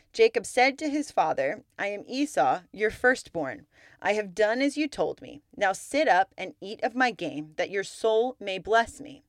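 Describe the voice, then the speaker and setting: Fairly high-pitched, a woman speaks slowly with hardly any pauses, her warm tone marked by very wide pitch swings and big swings in loudness. The recording is very clean with a silent background, and the sound is dry and close with no echo. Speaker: podcast host and Bible teacher. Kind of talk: scripture reading, steady and measured, in between teaching talk; devotional Bible teaching. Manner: formal, even-paced reading aloud, clear and reverent; earnest and warm.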